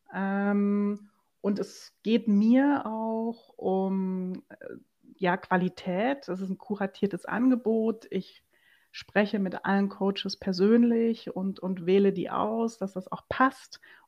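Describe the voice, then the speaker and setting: Against a quiet background, a woman speaks very slowly at a medium pitch. Her intonation is fairly even. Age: 40s. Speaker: entrepreneur. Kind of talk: interview.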